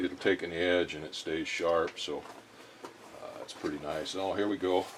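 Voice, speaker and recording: A man with a very deep, low pitch speaks at a moderate pace in a relaxed, monotone, flat way. His loudness swings a lot, and noticeable background noise runs beneath. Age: 60s. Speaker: machinist and workshop vlogger. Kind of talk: casual workshop vlog, unboxing. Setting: home workshop. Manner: relaxed, hesitant with fillers.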